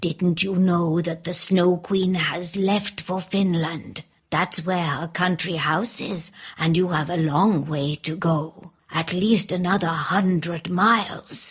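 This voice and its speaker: In a put-on character voice, a woman speaks at a fairly slow pace. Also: fairly low pitch for a woman, fairly even intonation. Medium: read story. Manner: kind, warm.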